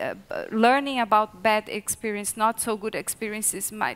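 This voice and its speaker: This speaker talks with a Portuguese accent and fairly even intonation. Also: woman. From Brazil. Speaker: research associate. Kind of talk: panel discussion. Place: hall. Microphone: headset.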